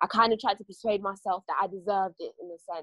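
In a British accent, a woman talks at a very fast pace with a medium pitch and ordinary pitch variation. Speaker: spoken word poet and care leaver. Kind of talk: spoken word performance and personal testimony. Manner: more intense when performing.

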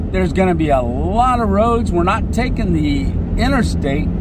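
Loud background noise fills a dry recording with no echo as the speaker goes at a moderate pace. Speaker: traveling vlogger driving. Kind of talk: casual vlog chat. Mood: cheerful, grateful. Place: car. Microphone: phone near.

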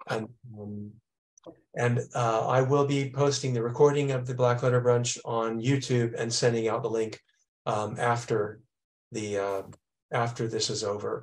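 A man with monotone, flat intonation, a fairly slow pace and long, frequent pauses. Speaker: event organizer and moderator; host of an online calligraphy talk series. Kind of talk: moderating an online talk. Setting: video call. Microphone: video call.

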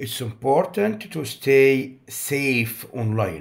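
In an Egyptian accent, a man speaks at a fairly slow pace with a medium pitch, very wide pitch swings and vocal fry. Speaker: English teacher. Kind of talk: tutorial.

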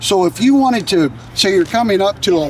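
A man talks at a fairly slow pace. The sound is dry with no echo, with light background noise. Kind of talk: interview answer. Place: street.

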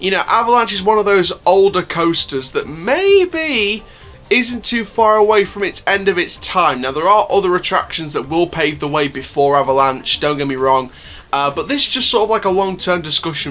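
A man talks at a moderate speed. Behind him, music plays faintly. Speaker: theme park vlogger. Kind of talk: casual vlog chat. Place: home room. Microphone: phone near.

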